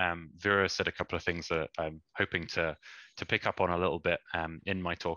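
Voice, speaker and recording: With a British accent, a man speaks at a moderate pace in a very deep, low pitch and a bright, sharp tone. The sound is dry and close with no echo, in a very clean recording with a silent background. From England. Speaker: energy consultant. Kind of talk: conference presentation. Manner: hesitant, many fillers.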